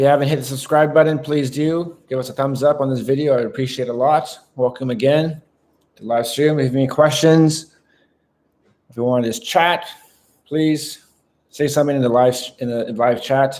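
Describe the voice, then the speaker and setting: A man talks at a moderate pace in a fairly high pitch. His intonation stays fairly even. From Canada (Vancouver). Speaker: live streamer. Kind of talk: casual live stream chat. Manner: hesitant, many fillers.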